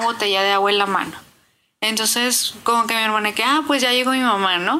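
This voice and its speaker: A woman speaks with a fairly high pitch and a bright, sharp tone, her intonation fairly even. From Nuevo León, Mexico. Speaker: listener. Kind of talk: voice message.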